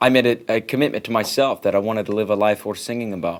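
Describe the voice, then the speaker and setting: A man's medium-pitched voice in a West Coast accent, very fast in pace, with fairly even intonation. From Oregon, US. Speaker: singer-songwriter. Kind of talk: interview. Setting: studio.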